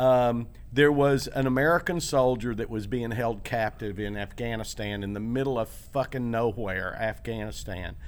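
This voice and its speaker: A man's normal speaking voice, medium pitch, ordinary pitch variation, moderate pace. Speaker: podcast co-host. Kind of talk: casual chat. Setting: comedy theater stage.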